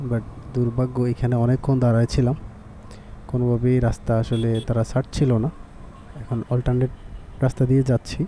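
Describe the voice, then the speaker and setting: In a monotone, flat intonation, a man with a medium pitch speaks at a very even loudness. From Bangladesh. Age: 30s. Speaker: motorcycle travel vlogger. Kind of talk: vlog narration.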